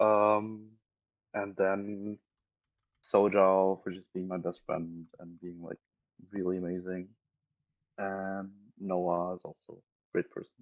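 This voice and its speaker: A man with a German accent speaks at a very slow pace in a very deep, low voice, his intonation monotone and flat. His loudness swings widely, and he takes long, frequent pauses. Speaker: online gamer. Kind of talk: podcast interview.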